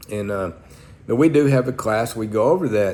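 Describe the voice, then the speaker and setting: A man with an Oklahoma accent, medium pitch and lively intonation, amid audible room echo. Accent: Oklahoma Southern US. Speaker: pastor. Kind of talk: sermon-style talk to camera. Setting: church. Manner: blunt.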